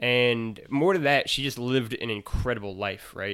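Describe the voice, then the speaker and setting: Recorded very cleanly against a silent background, a man speaks at a medium pitch with a bright, sharp tone. His intonation is fairly even and his pace moderate. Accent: Midwestern. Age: 20s. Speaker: video game podcast host. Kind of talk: casual chat.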